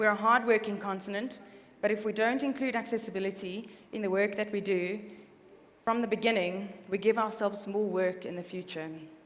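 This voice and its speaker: Audible room echo around a woman's medium-pitched voice, fairly quick and with fairly even intonation. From South Africa. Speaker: accessibility consultant. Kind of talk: conference presentation.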